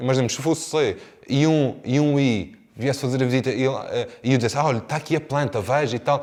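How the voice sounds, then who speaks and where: A man with a European Portuguese accent, fairly high-pitched, at a very fast pace. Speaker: real estate sales trainer. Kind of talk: lecture. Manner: swallows words.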